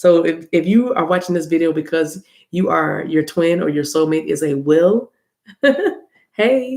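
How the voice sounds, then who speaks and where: Speaking with an American accent at a fairly slow pace, the speaker uses lively intonation and long, frequent pauses. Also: woman, fairly low pitch for a woman. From US South, South Carolina. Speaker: tarot card reader. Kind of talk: tarot reading video. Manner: casual, chatty.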